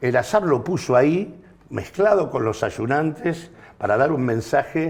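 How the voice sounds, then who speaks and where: The speaker is a man with a fairly high pitch. He uses lively intonation. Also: fairly slow pace. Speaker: political commentator. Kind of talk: panel discussion. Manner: halting.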